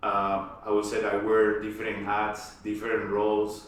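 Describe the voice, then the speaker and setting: In a Spanish accent, a man with a fairly low pitch speaks slowly in a monotone, flat intonation, with noticeable background noise and audible room echo. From Colombia, Cali. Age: 40s. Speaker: aerospace engineer. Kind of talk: interview conversation. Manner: halting, many repetitions.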